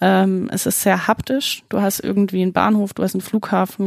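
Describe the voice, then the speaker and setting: A woman speaks at a medium pitch, dry and close with no echo. The recording is very clean over a silent background. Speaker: business consultant. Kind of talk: podcast interview.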